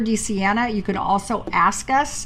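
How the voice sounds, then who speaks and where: Noticeable background noise sits behind a voice with lively intonation. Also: woman. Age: 60s. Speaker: ministry co-host. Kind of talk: podcast closing remarks and appeal for donations. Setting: livestream on social media. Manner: casual, halting.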